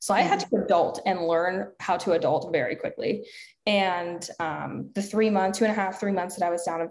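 At a fairly quick pace, an unremarkable speaking voice talks with fairly even intonation. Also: woman. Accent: American. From US South. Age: 20s. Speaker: health and fitness coach, entrepreneur. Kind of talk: interview conversation.

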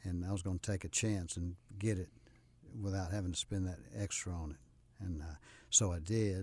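A man with a very deep, low voice sounds somewhat breathy at a moderate pace on a very clean recording with a silent background. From US South, South Carolina. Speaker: retired business owner. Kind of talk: casual interview chat. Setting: radio studio.

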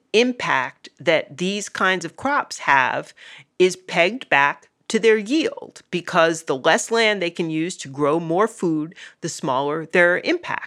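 Speech moves at a very slow pace with lively intonation. The tone is bright and sharp. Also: woman. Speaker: podcast host. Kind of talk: casual chat, mailbag Q&A.

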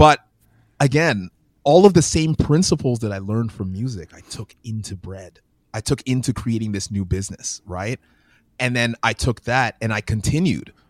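A man with a Canadian accent speaks in an unremarkable speaking voice at a medium pitch, using lively intonation and big swings in loudness, in a dry, close sound with no echo and a very clean recording with a silent background. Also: moderate pace. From Canada, Windsor Ontario. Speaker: children's book author and education founder. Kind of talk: interview conversation.

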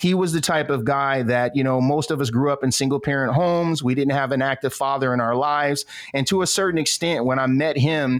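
Talking fairly quickly, a man with an American accent has an ordinary speaking voice, a fairly high pitch and ordinary pitch variation. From Flint, Michigan, US Midwest. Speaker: Army veteran and entrepreneur. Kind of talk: interview.

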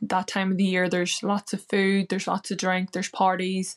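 In a dry, close recording with no echo and a quiet background, a woman with a Northern Irish accent talks at a medium pitch. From Northern Ireland. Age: 20s. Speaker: weight loss success story guest, hotel worker. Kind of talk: interview, personal story.

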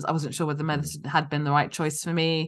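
In a London accent, a woman speaks with a very deep, low pitch. The background is quiet. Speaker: physician and company founder. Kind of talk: interview.

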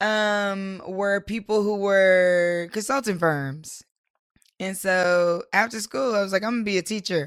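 Speaking at a fairly slow pace, a woman has a normal speaking voice, medium pitch and ordinary pitch variation. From US South, Durham, North Carolina. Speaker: entrepreneur, nonprofit founder. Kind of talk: interview.

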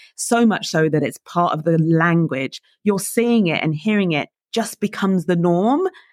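A woman speaks at a moderate pace in a fairly low pitch with ordinary variation. The sound is dry and close with no echo, on a very clean recording with a silent background. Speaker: coach and keynote speaker. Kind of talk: interview.

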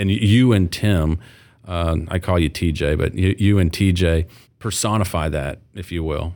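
A man with a very deep, low voice speaks at a moderate pace with ordinary pitch variation. The recording is very clean, with a silent background. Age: 40s. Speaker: podcast host and company CEO. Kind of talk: casual interview chat. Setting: makeshift studio in a conference room. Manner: halting, many repetitions and fillers.

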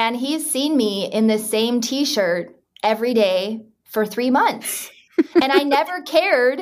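A woman speaks in a plain, everyday voice with an American accent. Her pitch is fairly high and her intonation lively. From Utah. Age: 30s. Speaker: podcast guest. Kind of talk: casual chat.

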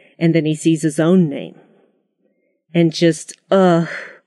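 A woman speaks at a fairly slow pace. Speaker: guest, Marvel fan. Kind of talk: casual chat. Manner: excited, enthusiastic.

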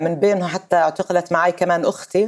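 A plain, everyday voice from a woman, medium in pitch, at a moderate pace. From Palestine, Nablus. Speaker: Palestinian activist and legislator. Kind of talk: interview.

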